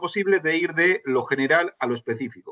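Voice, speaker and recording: Dry and close with no echo, the recording carries a man's fairly high-pitched voice. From Spain. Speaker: finance consultant and lecturer. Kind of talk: online lecture. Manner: conversational, with many fillers and restarts.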